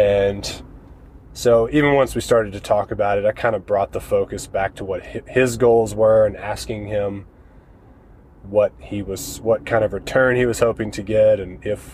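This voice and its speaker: Somewhat breathy, a man speaks at a moderate pace. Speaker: real estate investor podcast host. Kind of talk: podcast monologue. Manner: casual, conversational with fillers.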